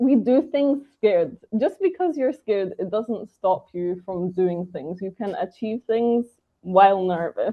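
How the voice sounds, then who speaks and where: With a British accent, a woman talks at a fairly slow pace in a fairly high pitch that swings very widely. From Britain. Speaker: English trainer. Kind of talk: interview.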